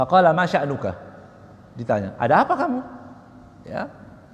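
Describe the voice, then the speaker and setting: Over noticeable background noise, a loud man with a high voice talks at a moderate pace, his pitch swinging very widely. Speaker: Islamic preacher. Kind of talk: religious lecture on Quran exegesis.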